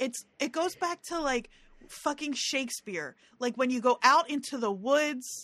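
Against a quiet background, a woman with a New Jersey accent speaks with ordinary pitch variation and a dry, close sound with no echo. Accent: regional New Jersey. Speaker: podcast co-host. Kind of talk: casual chat.

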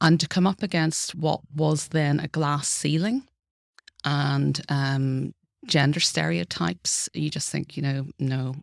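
At a very slow pace, a woman with a Northern Irish accent and a very deep, low pitch speaks in a dry, close sound with no echo. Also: lively intonation. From Northern Ireland. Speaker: law professor. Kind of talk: interview.

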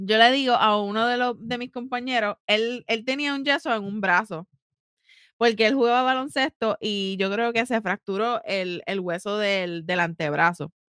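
Speaking at a fairly slow pace, a woman with a fairly high pitch uses an animated tone and ordinary pitch variation, recorded very cleanly against a silent background with a dry, close sound and no echo. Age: 30s. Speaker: podcast co-host. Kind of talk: casual chat.

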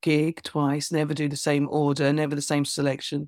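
A woman speaks in an English accent. Her pitch is very deep and low. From England. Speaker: author and performance poet. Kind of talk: casual interview.

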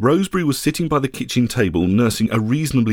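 Aloud reading in a natural voice

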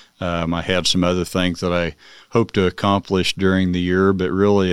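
A man with a Midwestern American accent, very deep and low in pitch, monotone and flat, at a moderate pace, in a dry, close sound with no echo and a very clean recording with a silent background. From Manhattan, Kansas. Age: 60s. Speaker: construction company chairman. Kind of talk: casual interview.

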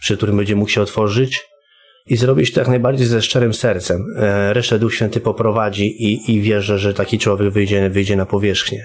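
A man's voice sits fairly low. He moves along at a fairly quick pace. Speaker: former prisoner and recovering addict sharing a conversion story. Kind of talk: testimony. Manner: halting, with many repetitions.

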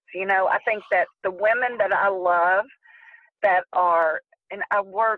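A woman's medium-pitched voice at a fairly slow pace, with fairly even intonation. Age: 60s. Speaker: therapist in private practice. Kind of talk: interview. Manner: halting.

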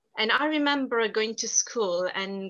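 A woman with lively intonation and a strong Italian accent. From southern Italy. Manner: talkative, animated.

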